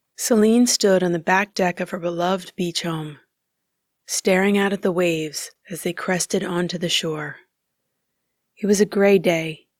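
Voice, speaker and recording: A woman's ordinary speaking voice, fairly low in pitch, with ordinary pitch variation. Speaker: voice actor. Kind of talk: audiobook narration.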